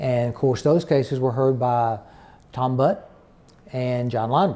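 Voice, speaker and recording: A man speaks at a moderate pace in a medium pitch with an Arkansas accent, his tone dark and mellow and his pitch varying in an ordinary way. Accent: Southern US (Arkansas). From Arkansas Delta. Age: 60s. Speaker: retired county attorney. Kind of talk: oral history interview. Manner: halting, many fillers.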